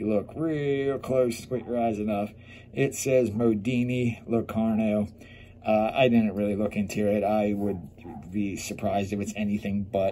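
A man's fairly low, dark and mellow voice, fairly slow, with ordinary pitch variation and light background noise. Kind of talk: product show-and-tell commentary. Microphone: phone near.

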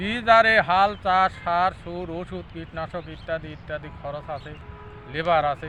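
Speaking at a high pitch with ordinary pitch variation, the man's voice shows big swings in loudness. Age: 60s. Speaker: potato farmer. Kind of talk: interview.

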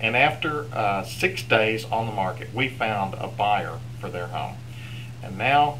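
There is light background noise behind a man's voice. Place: office. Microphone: webcam.

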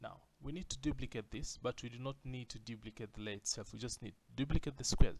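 This man's voice sits at a medium pitch with vocal fry. His pitch varies in an ordinary way. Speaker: design tutorial creator. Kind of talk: tutorial. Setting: screen recording at a computer. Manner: excitable.

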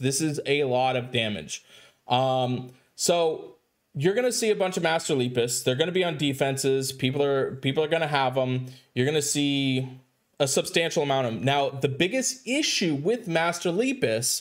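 The background is quiet as a man speaks at a moderate pace. His pitch variation is ordinary. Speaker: mobile game content creator. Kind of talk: gaming commentary. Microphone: headset.

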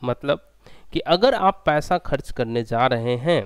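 The recording has a dry sound with no echo. A man speaks against a quiet background. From India. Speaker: engineering exam tutor; online exam-prep teacher. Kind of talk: online lecture. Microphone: headset.

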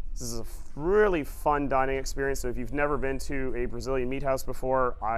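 There is music behind the speaker. His delivery as a man comes at a fairly quick pace. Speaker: travel vlogger giving a cruise ship tour. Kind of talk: walking guided tour narration of restaurants, informal and descriptive. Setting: on location aboard a cruise ship, walking. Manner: upbeat, enthusiastic, with frequent filler 'uh' while describing; friendly direct address to viewers, casual run-on flow.

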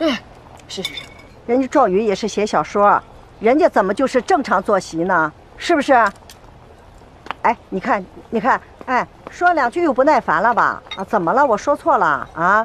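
Speaking at a moderate pace, a woman's pitch swings very wide, broken by long, frequent pauses, in a dry sound with no echo over light background noise. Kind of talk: acted drama dialogue. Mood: warm, then nagging. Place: cafe.

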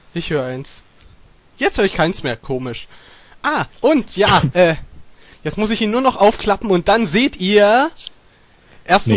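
With very wide pitch swings, a man talks at a very slow pace with long, frequent pauses, and the sound is dry with no echo. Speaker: gaming streamer. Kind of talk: casual let's play chat. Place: home room. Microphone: headset.

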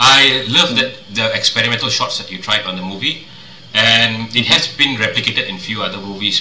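Light background noise and audible room echo surround a man speaking at a fairly quick pace. His medium pitch shows ordinary pitch variation. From Malaysia. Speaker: podcast host. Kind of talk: interview. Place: home room.

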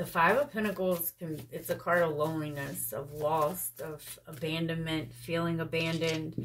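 A woman talks with a very deep, low pitch and fairly even intonation. Light background noise sits behind her. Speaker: tarot reader. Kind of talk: tarot reading commentary. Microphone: phone near.

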